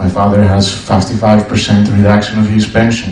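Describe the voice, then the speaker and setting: With a Greek accent and a fairly low pitch, a man talks at a moderate pace amid noticeable background noise and audible room echo. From Greece. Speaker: audience member at debate. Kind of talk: audience question at public debate. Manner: halting.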